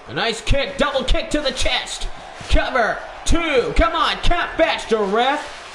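A man's extremely high voice at a fairly slow pace, with audible room echo and light background noise. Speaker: gaming and wrestling channel commentator. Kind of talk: wrestling match commentary, play-by-play over highlights. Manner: gushing hype with breathless pauses. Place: home room. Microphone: headset.

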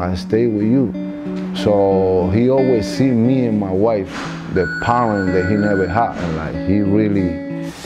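A man speaks at a fairly slow pace while clear music plays in the background. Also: ordinary pitch variation. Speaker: trainer. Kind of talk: interview answer. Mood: proud, warm. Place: gym. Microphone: lapel.

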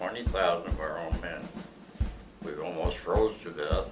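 Music plays in the background as a man with an American accent talks fairly slowly. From Ohio, USA. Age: 80s+. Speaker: World War II veteran. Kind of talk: oral history interview answer.

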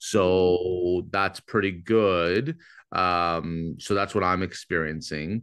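Against a quiet background, a man with a Canadian accent speaks at a very slow pace in a very deep, low voice, with very even loudness, fairly even intonation and a dry sound with no echo. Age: 30s. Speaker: real estate agent and lead-generation coach; lead-generation coach. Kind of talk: webinar coaching session. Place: home room. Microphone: video call.

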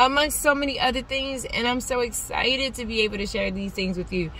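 Dry sound with no echo from a woman, noticeable background noise behind her. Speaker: faith vlogger. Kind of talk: casual vlog chat. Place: car. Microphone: phone near.

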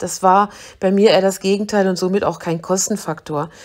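A woman speaks at a moderate pace in a medium pitch, with an unremarkable speaking voice. The recording is very clean, with a silent background. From Germany, Braunschweig. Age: 50s. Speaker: personal trainer.

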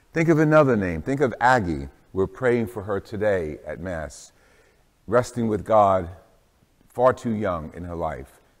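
Against a quiet background, a man with vocal fry speaks at a fairly slow pace. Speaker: priest. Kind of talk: homily introduction. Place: church.

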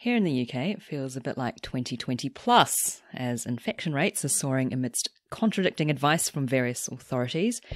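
On a very clean recording with a silent background and a dry, close sound with no echo, a woman speaks at a very deep, low pitch. Her fairly quick delivery has lively intonation and big swings in loudness. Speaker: cellist, podcast host. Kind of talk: podcast intro.

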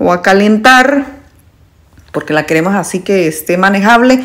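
Here a woman talks at a moderate pace. Her pitch varies in an ordinary way. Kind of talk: tutorial. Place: kitchen. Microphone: phone near.

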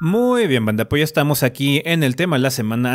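A man talks with a Mexican accent. His pace is very fast. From Mexico. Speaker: gaming podcast host. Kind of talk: casual chat. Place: home room. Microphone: studio mic.

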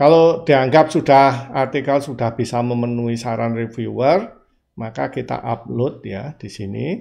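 A man's dark, mellow tone with big swings in loudness and ordinary pitch variation, over a quiet background. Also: fairly slow pace. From Indonesia. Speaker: journal software tutor. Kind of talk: screen-recorded tutorial. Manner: hesitant, frequent fillers. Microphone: webcam.

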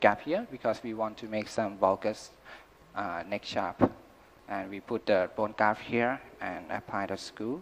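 Here a man talks at a fairly slow pace in a normal speaking voice, with a fairly low pitch and fairly even intonation. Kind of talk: lecture. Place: hall. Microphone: podium.

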